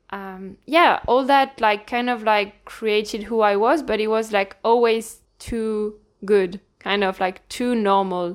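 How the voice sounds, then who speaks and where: A woman talks at a very slow pace and a fairly high pitch, with ordinary pitch variation, on a very clean recording with a silent background. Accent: French. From northern France. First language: French. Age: 20s. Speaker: personal trainer. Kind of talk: casual chat.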